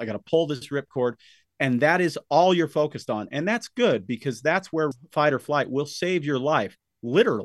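The recording is dry and close with no echo. A man with an unremarkable speaking voice talks at a fairly high pitch with lively intonation. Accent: American. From Utah, US. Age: 50s. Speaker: supplement formulator and health store owner. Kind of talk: interview.

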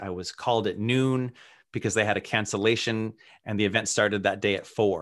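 Speaking at a moderate pace with an American accent and ordinary pitch variation, this is an ordinary speaking voice on a very clean recording with a silent background. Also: man. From Worcester, Massachusetts. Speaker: author and illustrator. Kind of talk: interview conversation.

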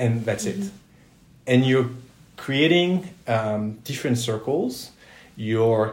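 A man with a French accent speaks at a fairly slow pace, with audible room echo. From Southwest France, Toulouse. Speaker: career center director. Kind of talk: interview.

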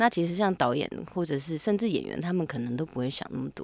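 On a very clean recording with a silent background, a woman speaks at a moderate pace with a fairly low pitch and lively intonation. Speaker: actress and intimacy coordinator. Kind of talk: interview conversation.

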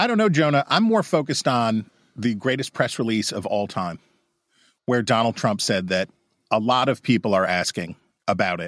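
A plain, everyday voice at a moderate pace with ordinary pitch variation. The very clean recording has a silent background and a dry, close sound with no echo. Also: man. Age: 40s. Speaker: political pundit. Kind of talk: casual chat. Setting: studio.

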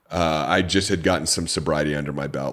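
Noticeable background noise runs under this recording. A man speaks in a very deep, low pitch with fairly even intonation. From Orange County, California. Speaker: podcast host and author. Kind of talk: podcast interview, promotional.

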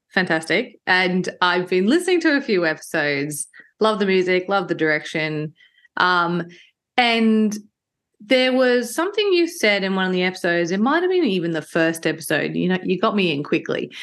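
Here a woman with an ordinary speaking voice talks at a moderate pace in a medium pitch, varying it in an ordinary way. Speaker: podcast host. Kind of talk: casual interview chat.

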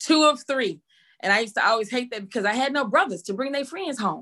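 A woman's high, raised and projected voice with a Texas accent, very fast and energetic, bright and sharp in tone, with very wide pitch swings. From Texas, Waco. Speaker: school teacher and inspirational speaker. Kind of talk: casual interview.

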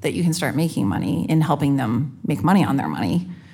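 The voice carries vocal fry. Room echo is audible. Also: woman. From Canada. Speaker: fintech executive. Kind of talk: live panel discussion. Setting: stage with audience.

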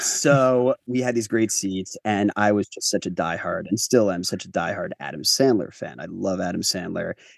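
In a plain, everyday voice, a man with an American accent speaks at medium pitch and a moderate pace with hardly any pauses, the sound dry and close with no echo. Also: lively intonation. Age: 30s. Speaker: writer and director. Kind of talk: interview.

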